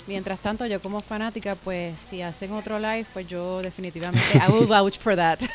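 Someone talks at a moderate pace with ordinary pitch variation, hardly any pauses, big swings in loudness, and noticeable background noise. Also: woman, medium pitch for a woman. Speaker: podcast host. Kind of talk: interview.

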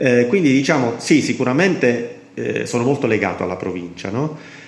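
This man keeps a moderate pace. Behind him, background noise is noticeable. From southern Italy (Basilicata, Potenza), moved around Italy. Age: 40s. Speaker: amateur marathon runner and race pacer. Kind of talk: casual interview. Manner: halting, many fillers.

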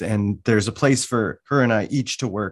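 In an American accent, an unremarkable speaking voice moves at a moderate pace with ordinary pitch variation over a quiet background. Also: man. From US Mountain West, Wyoming. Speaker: learning educator, workshop facilitator. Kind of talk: interview conversation.

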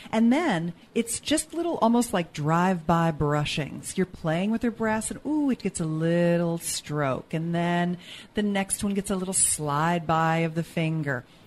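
In a plain, everyday voice, a woman with a fairly low pitch speaks at a fairly slow pace with ordinary pitch variation and hardly any pauses. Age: 50s. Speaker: sex educator and author. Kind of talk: casual chat; tutorial.

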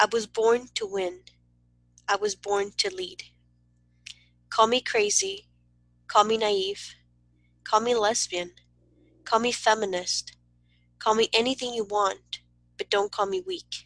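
A woman's normal speaking voice in an American accent, fairly high in pitch with ordinary pitch variation, at a fairly slow pace, dry and close with no echo. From Southern California (Wilmington, Los Angeles area). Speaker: poet and writer. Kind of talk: poetry reading.

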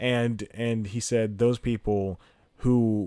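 This is a very clean recording with a silent background. A man speaks with fairly even intonation. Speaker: podcast host and stand-up comedian. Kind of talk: casual solo monologue. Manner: loud; rambling with frequent laughs.

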